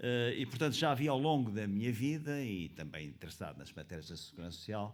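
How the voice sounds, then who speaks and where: A man speaks at a moderate pace in a medium pitch, his voice making very wide pitch swings, with audible room echo around him. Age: 70s. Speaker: conference panelist, pensions expert. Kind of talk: panel talk. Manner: halting, many fillers.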